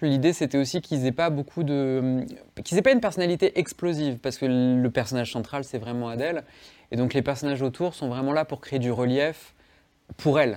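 The recording is very clean, with a silent background. A man with a plain, everyday voice speaks at a moderate pace and fairly high pitch, using ordinary pitch variation. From Savoie, France (Chambéry). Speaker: comics author and illustrator. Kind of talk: interview.

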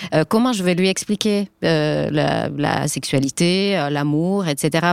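In a Finnish accent, a woman speaks with ordinary pitch variation, recorded with a dry, close sound with no echo. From Finland. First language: Finnish (speaking French). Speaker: journalist and author. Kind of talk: panel discussion.

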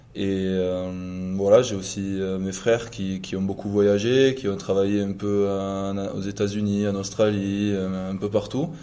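The man's pitch sits fairly low, and his tone is dark and mellow. He talks at a very slow pace, with audible echo from the room. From southwest France, Gers. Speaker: professional rugby player. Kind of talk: interview. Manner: halting, many fillers and repetitions.

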